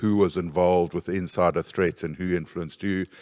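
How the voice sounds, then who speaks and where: Monotone, flat intonation at a moderate pace on a very clean recording with a silent background. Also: man, dry, close sound with no echo. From South Africa. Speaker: corporate security manager. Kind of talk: panel discussion.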